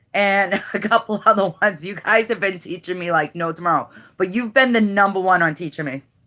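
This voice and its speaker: In a strong Boston accent, a woman with a medium pitch and ordinary pitch variation speaks in a bright, sharp tone on a very clean recording with a silent background. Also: fairly quick pace. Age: 40s. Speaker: YouTuber. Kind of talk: casual chat.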